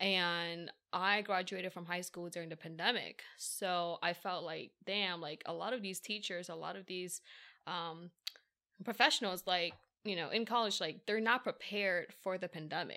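A woman speaks at medium pitch and a moderate pace with fairly even intonation, in a plain, everyday voice. The recording is very clean with a silent background. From Philadelphia, US. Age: 20s. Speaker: entrepreneur. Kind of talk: casual interview chat.

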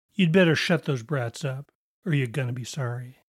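A man performs a raspy, put-on character voice. He keeps a medium pitch and a moderate pace. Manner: menacing, threatening.

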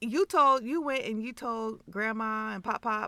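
This woman's voice has a bright, sharp tone and a fairly high pitch. Her pitch varies in an ordinary way. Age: 50s. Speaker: podcast co-host, mother. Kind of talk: casual chat.

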